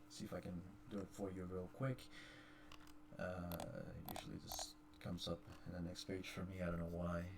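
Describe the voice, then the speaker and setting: Pausing long and often, a man speaks in a very deep, low, somewhat breathy voice with ordinary pitch variation. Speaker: gaming YouTuber. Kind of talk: tutorial. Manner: fast. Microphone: poor voice quality.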